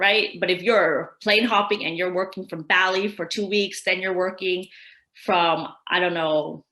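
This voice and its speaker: Speaking with an American accent, a woman at medium pitch has a bright, sharp tone, a moderate pace and fairly even intonation. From California. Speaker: tax expert presenter. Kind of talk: webinar Q&A. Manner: casual, conversational.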